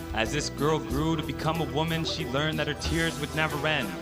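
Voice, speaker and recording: Moderate-paced speech from a man with music in the background. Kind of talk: spoken word poetry performance.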